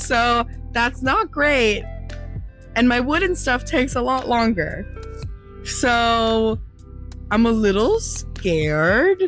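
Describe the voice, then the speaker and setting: A woman with a high pitch speaks at a very slow pace, taking long, frequent pauses, and her pitch swings very widely. Her loudness stays very even while music plays in the background. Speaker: small business maker selling at markets. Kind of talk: casual talk to camera.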